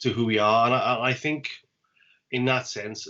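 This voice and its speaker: In a South Welsh accent, the speaker moves at a fairly quick pace with monotone, flat intonation. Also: man. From Wales. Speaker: poet and podcast host. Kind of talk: casual chat.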